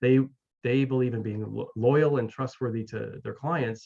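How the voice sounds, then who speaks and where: With a Canadian accent, a man uses a normal speaking voice at a medium pitch, keeping his intonation fairly even and his pace fairly quick. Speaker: mental wellness coach and author. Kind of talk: interview. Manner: many fillers and repetitions.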